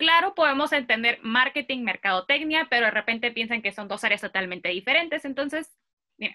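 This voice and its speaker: Speaking at a fairly quick pace, a woman uses lively intonation and a high pitch with a bright, sharp tone over a quiet background. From Mexico, Mexicali; Mexico. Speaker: vocational guidance YouTuber. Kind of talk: interview. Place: home room. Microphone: earbuds.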